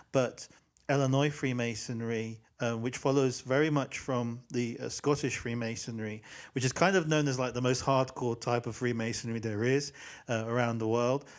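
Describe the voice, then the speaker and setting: On a very clean recording with a silent background, a man with an English accent speaks in fairly even intonation. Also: medium pitch for a man, moderate pace. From England. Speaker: podcast host. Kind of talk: casual interview chat. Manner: halting, many fillers.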